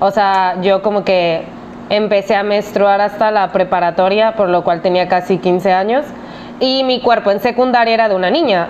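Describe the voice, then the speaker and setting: The speech moves at a fairly slow pace with fairly even intonation, and there is noticeable background noise. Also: woman. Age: 20s. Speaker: podcast co-host. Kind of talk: casual chat.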